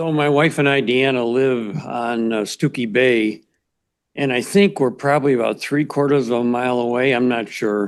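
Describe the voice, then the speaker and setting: A man uses an ordinary speaking voice with an American accent and medium pitch. He talks at a moderate pace with ordinary pitch variation. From Chicago. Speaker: resident giving public comment. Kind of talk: public hearing comment.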